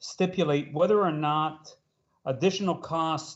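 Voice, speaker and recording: A man with a fairly high pitch talks at a fairly slow pace in a normal speaking voice with ordinary pitch variation. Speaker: school board trustee. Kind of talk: board meeting discussion.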